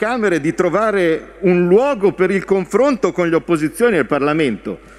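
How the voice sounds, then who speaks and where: Lively in intonation, a man with a high pitch speaks at a fairly slow pace. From Italy. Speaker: member of parliament. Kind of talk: parliamentary speech, fiery oratory addressed to the prime minister. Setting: parliament chamber. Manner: indignant, sharp and combative, emphatic, scolding tone. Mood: heated, combative. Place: hall. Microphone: podium.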